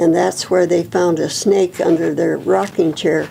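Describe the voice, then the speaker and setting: A woman with an American accent, fairly low in pitch and fairly slow, over noticeable background noise. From Nebraska. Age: 90s. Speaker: oral history interviewee. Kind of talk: oral history interview; reading aloud.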